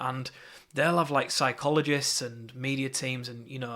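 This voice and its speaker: At a fairly quick pace, a man speaks in a bright, sharp tone with monotone, flat intonation. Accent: Yorkshire. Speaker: marketing course teacher. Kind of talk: lecture. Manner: casual, with fillers and repetitions.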